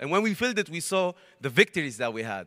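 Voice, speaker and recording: In a very clean recording with a silent background and a dry, close sound with no echo, a man talks in a high-pitched, bright, sharp voice with an animated tone. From Lebanon. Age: young. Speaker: university student. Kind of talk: testimony.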